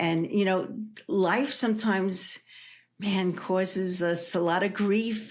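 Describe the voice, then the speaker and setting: A woman's medium-pitched voice comes through with audible room echo. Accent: New York. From New York City (Brooklyn). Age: 70s. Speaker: energy healer and hypnotherapist. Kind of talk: interview.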